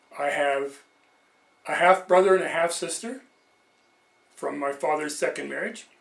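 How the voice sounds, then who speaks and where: A high-pitched man with a Canadian accent, ordinary pitch variation and a moderate pace. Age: 60s. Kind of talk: personal introduction and teaching monologue.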